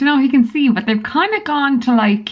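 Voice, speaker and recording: A woman speaks as noticeable background noise runs beneath her voice. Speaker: vlogger. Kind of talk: casual vlog.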